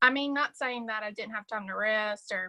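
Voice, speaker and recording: A woman with a Southern US accent speaks in a fairly high pitch with a bright, sharp tone and fairly even intonation, the sound dry and close with no echo. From US South, South Carolina. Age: 20s. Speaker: sales director. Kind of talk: casual chat.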